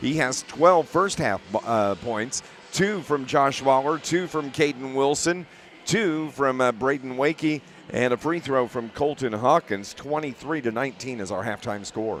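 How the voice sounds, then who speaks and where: Amid noticeable background noise, a man speaks fairly slowly at a medium pitch with ordinary pitch variation. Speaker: radio sports announcer. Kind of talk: live sports commentary. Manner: halting, stumbling over words.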